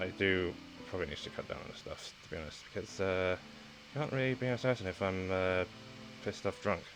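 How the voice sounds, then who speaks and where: Over background music, a man with a British accent speaks at a fairly quick pace in a very deep, low voice with ordinary pitch variation. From United Kingdom. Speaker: VTuber streamer. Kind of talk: casual self-introduction stream. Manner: halting, lots of fillers.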